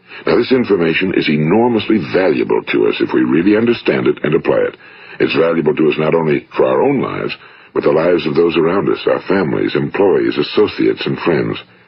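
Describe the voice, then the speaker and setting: Against noticeable background noise, a man with an American accent talks at a very fast pace. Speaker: motivational speaker and radio host. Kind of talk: motivational speech, recorded audio lecture.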